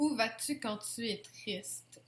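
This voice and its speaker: In a Quebec accent, a woman speaks with a fairly high, somewhat breathy voice and ordinary pitch variation. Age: 20s. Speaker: YouTuber. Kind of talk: casual Q&A tag video.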